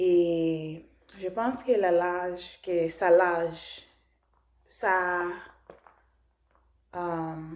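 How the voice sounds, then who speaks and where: Someone with a non-native accent speaks at a very slow pace, with long, frequent pauses and fairly even intonation. Room echo is audible. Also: woman, fairly low pitch for a woman. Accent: non-native French learner. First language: not French (speaking French). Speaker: language learner vlogger. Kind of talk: casual vlog talk. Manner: halting, many restarts and fillers.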